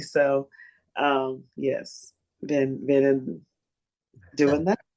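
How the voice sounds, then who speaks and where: A woman's very deep, low voice, dark and mellow in tone, with a Texan accent. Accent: Texan US Southern. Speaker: blues singer. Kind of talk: interview.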